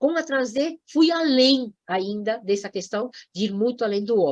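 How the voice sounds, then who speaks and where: A fairly high-pitched woman's voice, animated in tone, with lively intonation. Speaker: environmental education lecturer. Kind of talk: lecture.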